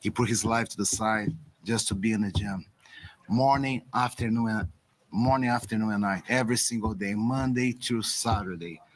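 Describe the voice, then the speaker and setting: A man speaks at a medium pitch with a Brazilian Portuguese accent. His intonation stays fairly even at a moderate pace. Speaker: boxing trainer. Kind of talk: press conference. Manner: halting.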